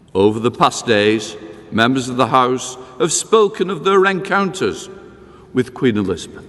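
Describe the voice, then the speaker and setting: A man's medium-pitched voice at a moderate pace, with very wide pitch swings over noticeable background noise. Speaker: parliamentary speaker delivering address of condolence. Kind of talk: formal ceremonial address of condolence. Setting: large hall, public ceremony.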